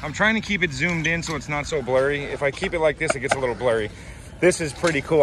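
A man talks with ordinary pitch variation. The sound is dry with no echo, though noticeable background noise runs underneath. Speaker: skateboarder vlogger. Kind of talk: casual vlog tour commentary. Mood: excited, impressed. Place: street. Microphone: phone near.

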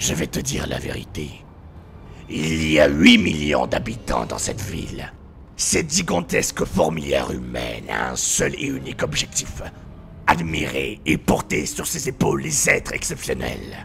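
Using a put-on character voice with a theatrical tone, a man speaks at a moderate pace against clear background noise. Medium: dub. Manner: taunting, theatrical.

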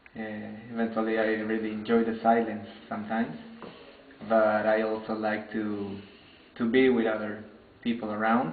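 A man with a fairly low pitch talks at a moderate pace in a monotone, flat intonation, leaving long, frequent pauses. Audible room echo and light background noise are present. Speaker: international student. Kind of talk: interview answers. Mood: thoughtful, reflective. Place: home room.

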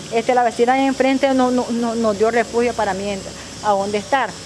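A woman speaks in a high voice. Noticeable background noise can be heard. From Nicaragua, Boaco; Nicaragua. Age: 30s. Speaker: single mother seeking aid. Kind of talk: news interview testimony. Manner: halting, many repetitions and fillers. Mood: pleading, earnest. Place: street. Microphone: handheld.

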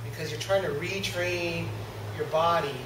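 Noticeable background noise is present. Under it, a man talks at a moderate pace. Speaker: martial arts instructor. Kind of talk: instruction to seminar class. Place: gym.

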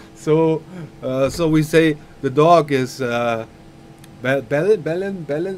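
With a German accent, a man speaks in a fairly high voice with ordinary pitch variation over light background noise. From Germany. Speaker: flight sim streamer. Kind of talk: live-stream tutorial. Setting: live stream. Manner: halting. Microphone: headset.

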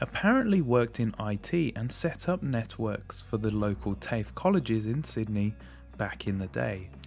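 An enthusiastic man at a moderate pace with lively intonation, music in the background. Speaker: retro computer collector. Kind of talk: tech review narration. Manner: friendly, enthusiastic.

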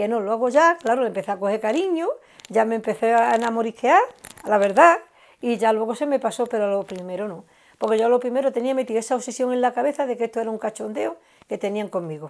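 A woman's fairly high voice at a very fast pace with ordinary pitch variation. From Andalusia. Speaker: guest's wife; interviewee. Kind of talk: casual chat. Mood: warm, amused reminiscing. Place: home room. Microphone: lapel.

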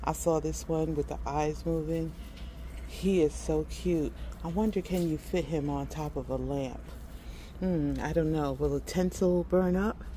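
Light background noise sits behind a woman talking at a fairly slow pace. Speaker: shopping vlogger. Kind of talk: casual vlog chat. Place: shop. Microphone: phone near.

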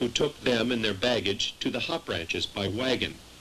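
A man at medium pitch with ordinary variation and a moderate pace, over noticeable background noise. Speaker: documentary narrator. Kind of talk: history documentary narration, scripted and read aloud. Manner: measured, formal, even-paced.

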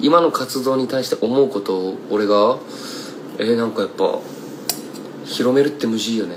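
A man speaks at a moderate pace with ordinary pitch variation. His pauses are long and frequent, and background noise is noticeable. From Kumamoto, Japan; Japan. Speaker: singer-songwriter; singer-songwriter streamer. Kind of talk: casual livestream chat. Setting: Instagram live stream. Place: home room. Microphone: phone near.

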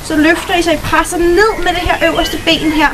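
Noticeable background noise surrounds a woman speaking at a fairly slow pace in an extremely high pitch. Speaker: fitness instructor. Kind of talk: tutorial. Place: garden. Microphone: camera far.

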